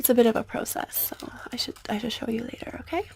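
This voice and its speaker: Soft-spoken, in a gentle tone. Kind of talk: ASMR over-explaining roleplay. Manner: gentle, soft, repetitive.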